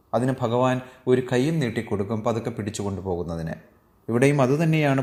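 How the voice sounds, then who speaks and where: A man with a normal speaking voice, medium pitch and lively intonation. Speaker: Bhagavad Gita teacher. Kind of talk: religious discourse.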